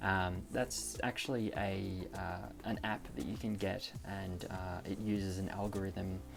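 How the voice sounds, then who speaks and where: Against music in the background and audible room echo, a man with an Australian accent speaks at a very deep, low pitch with fairly even intonation. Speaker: premed student vlogger. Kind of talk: casual tutorial vlog. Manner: frequent fillers, hesitant.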